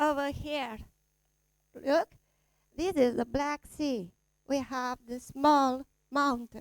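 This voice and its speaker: A woman with a high pitch speaks at a very slow pace with long, frequent pauses, in a dry, close sound with no echo. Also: ordinary pitch variation. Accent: Romanian. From Romania. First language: Romanian. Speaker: panelist. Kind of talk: panel presentation. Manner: halting.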